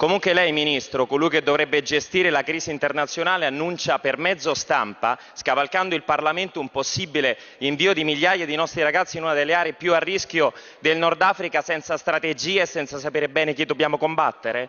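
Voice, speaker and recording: A man speaks at a fairly quick pace with fairly even intonation. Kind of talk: parliamentary speech. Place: hall. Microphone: podium.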